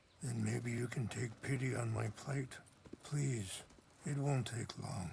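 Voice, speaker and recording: A man puts on a raspy character voice at a medium pitch, with ordinary pitch variation. He speaks at a fairly slow pace over clear background noise. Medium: video game. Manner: soft-spoken, measured, philosophical.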